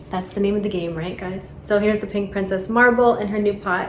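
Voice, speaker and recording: A woman with a strong New York accent speaks at a medium pitch with fairly even intonation, with noticeable background noise and audible room echo. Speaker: plant hobbyist vlogger. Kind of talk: casual tutorial vlog. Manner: casual, hesitant with fillers.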